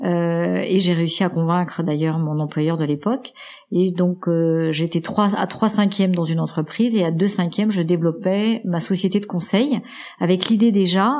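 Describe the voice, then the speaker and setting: With ordinary pitch variation, the speech keeps a moderate pace and has a dark, mellow tone. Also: woman. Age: 50s. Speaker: executive coach and podcaster. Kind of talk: interview. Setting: at home.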